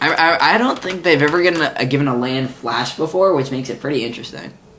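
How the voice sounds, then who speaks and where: Very fast, fairly high-pitched speech from a man, with noticeable background noise behind it. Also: ordinary pitch variation. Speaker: podcast host, card game fan. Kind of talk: casual chat. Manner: halting.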